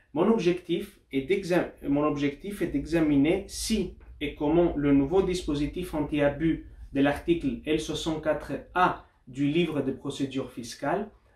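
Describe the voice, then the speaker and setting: A somewhat breathy voice at a fairly slow pace, with ordinary pitch variation. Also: man. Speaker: doctoral researcher and lawyer. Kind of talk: academic conference talk. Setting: university study day. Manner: formal; occasionally halting.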